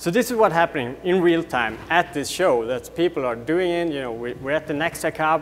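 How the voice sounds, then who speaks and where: Speech with a Swedish accent moves at a fairly quick pace with lively intonation. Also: man. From Sweden. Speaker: tech company co-founder. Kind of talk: product demo presentation. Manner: rambling, many fillers.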